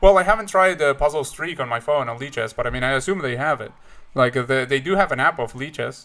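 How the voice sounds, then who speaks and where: A man talks very fast with a Spanish accent. His tone is bright and sharp, his pitch fairly high, with ordinary pitch variation. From Uruguay. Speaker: chess streamer. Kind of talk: live stream chat. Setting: live stream. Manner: halting, many fillers and repeats.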